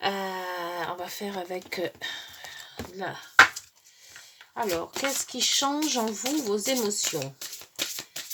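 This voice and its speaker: With noticeable background noise behind her, a woman speaks at a very slow pace with lively intonation. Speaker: tarot card reader. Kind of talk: astrology card reading. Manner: halting, stumbling.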